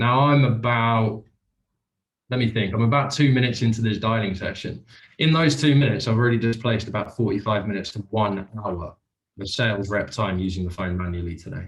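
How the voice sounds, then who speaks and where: With a British accent, a man talks at a fairly quick pace in a somewhat breathy voice. His medium pitch shows ordinary variation. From UK. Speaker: sales executive doing live cold call demo. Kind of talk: live demonstration with cold calls.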